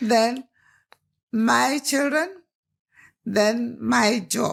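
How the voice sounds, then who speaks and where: A woman speaks with a Nigerian accent. Her pitch is fairly high, with ordinary pitch variation. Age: 80s+. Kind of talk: interview answer.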